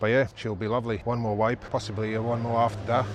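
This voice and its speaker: At a fairly quick pace, a man talks in a fairly low voice. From Portsmouth, southern England. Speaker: tiler. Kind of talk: tutorial. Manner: fast.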